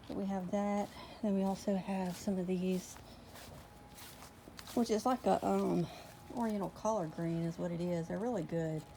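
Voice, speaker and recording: A woman's somewhat breathy voice at medium pitch with a Southern US accent, dark and mellow in tone, at a moderate pace with ordinary pitch variation and long, frequent pauses. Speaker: homesteading vlogger. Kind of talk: casual vlog.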